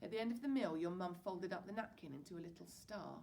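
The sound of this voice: The clip features an unforced reading voice.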